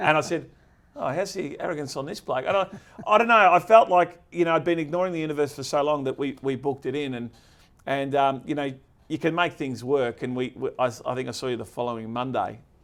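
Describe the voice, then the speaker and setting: Talking at a very fast pace, a man with an Australian accent has a fairly high pitch and ordinary pitch variation. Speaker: podcast host. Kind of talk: casual interview chat. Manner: energetic.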